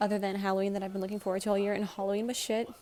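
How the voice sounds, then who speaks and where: With noticeable background noise behind her, a woman talks in a monotone, flat intonation. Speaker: vlogger. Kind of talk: casual vlog. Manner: fast.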